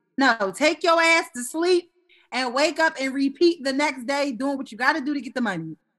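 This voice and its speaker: The voice is loud and passionate, with lively intonation at a moderate pace. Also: woman, high pitch for a woman. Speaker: podcast co-host. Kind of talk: casual chat. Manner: loud, passionate, excitable.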